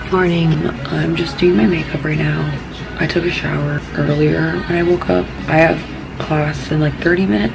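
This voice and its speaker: A woman speaking at a moderate pace over music in the background. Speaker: college student. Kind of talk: casual vlog talk to camera. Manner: whispered. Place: home room. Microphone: phone near.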